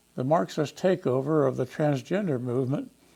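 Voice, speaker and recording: With lively intonation and a dark, mellow tone, a man with an American accent speaks at a moderate pace and a fairly high pitch. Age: 80s+. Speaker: political commentator. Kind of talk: scripted commentary.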